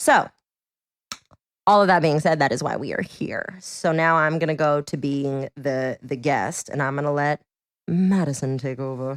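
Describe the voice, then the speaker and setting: A woman speaks with a very deep, low pitch. Her pitch variation is ordinary. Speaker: podcast host. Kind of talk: casual chat. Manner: fast; animated.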